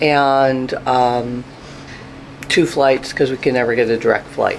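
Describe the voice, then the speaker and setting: A woman with a very deep, low-pitched voice speaks over noticeable background noise. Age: 60s. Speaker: travel vlogger. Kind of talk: vlog narration. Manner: casual, many filler ums.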